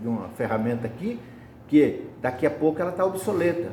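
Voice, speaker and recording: A man's lively intonation, with audible echo from the room. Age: 70s. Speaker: spiritist lay preacher. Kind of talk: sermon.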